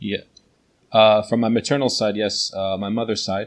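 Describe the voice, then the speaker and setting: The man's pitch sits fairly low, with an American accent. The background is quiet. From New Jersey, USA. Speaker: teacher and translator. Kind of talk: interview. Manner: hesitant, many fillers.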